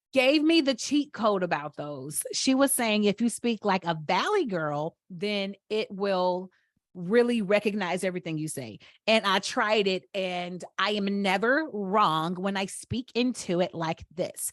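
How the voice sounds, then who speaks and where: A woman with a Southern US accent speaks at a fairly slow pace and medium pitch, her intonation lively. The sound is dry and close with no echo, over a quiet background. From Atlanta, Georgia. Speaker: podcast host. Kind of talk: casual chat.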